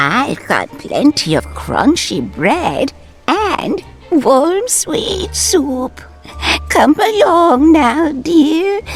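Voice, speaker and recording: A woman speaks in a put-on character voice at a high pitch. Her pace is very slow, with clear music in the background. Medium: machinima. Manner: warm, storytelling.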